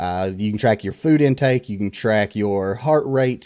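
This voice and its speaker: This man has a fairly low pitch. He speaks with a Southern US accent. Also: quiet background. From US South. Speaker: tech reviewer, content creator. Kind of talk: tech review. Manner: casual, many fillers.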